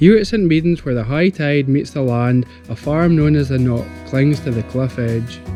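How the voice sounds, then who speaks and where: A man with a Scottish accent at a medium pitch, very wide pitch swings, a moderate pace, and music in the background. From Galloway, Scotland. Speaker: sculptor. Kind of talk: documentary voice-over narration.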